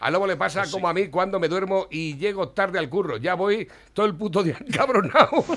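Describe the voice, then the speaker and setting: The man's voice sits high in pitch, with ordinary variation. He talks at a fairly quick pace. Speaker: radio host. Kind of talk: casual chat.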